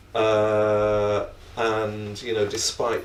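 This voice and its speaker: This man speaks with a British accent at a very slow pace. His pitch is fairly low, and there is audible room echo. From Britain. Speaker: academic panelist. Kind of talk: panel discussion.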